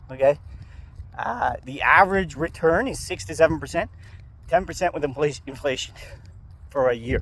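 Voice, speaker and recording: Over noticeable background noise, a man with a fairly high pitch speaks at a moderate pace, broken by long, frequent pauses. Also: ordinary pitch variation. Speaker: stock market youtuber. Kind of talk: casual vlog. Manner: casual, swearing-laced.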